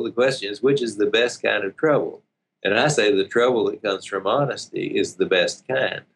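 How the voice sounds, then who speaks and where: Here a man talks with a Southern US accent. His pace is moderate. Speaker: relationship coach and seminar leader. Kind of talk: casual interview.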